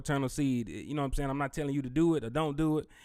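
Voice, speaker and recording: The voice is a man's. It sits at a medium pitch. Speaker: online money and business credit YouTuber. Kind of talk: live stream walkthrough. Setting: live online chat stream. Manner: fast; casual, conversational.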